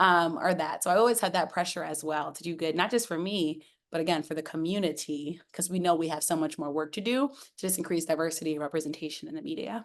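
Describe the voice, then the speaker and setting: A woman talks at a very fast pace with ordinary pitch variation against a quiet background. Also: fairly low pitch for a woman. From US, Washington DC area. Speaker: sports journalist. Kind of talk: interview. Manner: animated.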